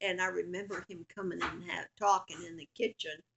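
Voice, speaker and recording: A woman with an American accent speaks at a medium pitch with vocal fry. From Portsmouth, Virginia, USA. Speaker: grandmother. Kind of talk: family history interview answer.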